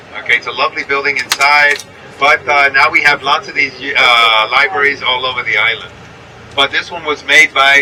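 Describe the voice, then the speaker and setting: A man talks in an American accent at a moderate pace. His pitch is fairly high, and background noise is noticeable. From New York. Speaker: tour guide. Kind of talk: guided tour commentary.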